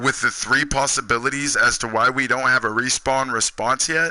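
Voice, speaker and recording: A man's medium-pitched voice, animated and bright with a sharp tone, at a fairly quick pace. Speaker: gaming streamer. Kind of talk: live stream chat.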